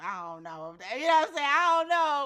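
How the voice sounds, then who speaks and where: Very fast and animated, a woman with an American accent talks in a bright, sharp tone. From US South, Memphis, Tennessee. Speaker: actress. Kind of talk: casual chat.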